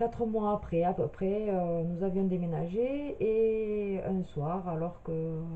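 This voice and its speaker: A woman at a medium pitch talks very slowly, her pitch varying in an ordinary way, with audible room echo and noticeable background noise around her. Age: 30s. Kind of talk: personal video introduction. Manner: hesitant, many filler sounds.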